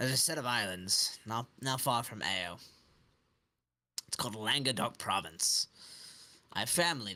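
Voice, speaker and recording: Using a put-on character voice, the speaker sounds raspy, with lively intonation, a moderate pace and long, frequent pauses. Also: man, medium pitch for a man. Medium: actual play. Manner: evasive.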